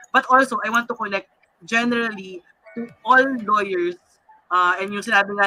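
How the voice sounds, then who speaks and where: The voice keeps a moderate pace with music in the background. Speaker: talk show host. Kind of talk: panel discussion.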